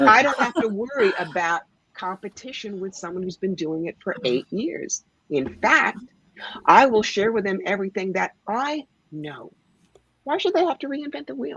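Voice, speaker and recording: A woman at medium pitch speaks at a moderate pace, with very wide pitch swings and big swings in loudness, in a dry, close sound with no echo. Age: 60s. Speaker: psychic. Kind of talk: live psychic reading on call-in radio. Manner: animated.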